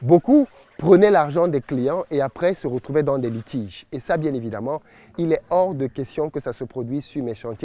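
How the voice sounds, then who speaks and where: Speaking with a Cameroonian accent, a man uses a fairly high pitch, a dark, mellow tone and lively intonation at a moderate pace. The recording is very clean with a silent background and a dry, close sound with no echo. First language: Bassa (speaking French). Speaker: entrepreneur and business YouTuber. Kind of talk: promotional vlog presentation.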